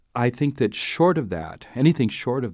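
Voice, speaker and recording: A man with an American accent and lively intonation on a very clean recording with a silent background. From US Midwest, Duluth, Minnesota. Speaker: bishop. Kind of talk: interview. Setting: studio. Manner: halting, many fillers.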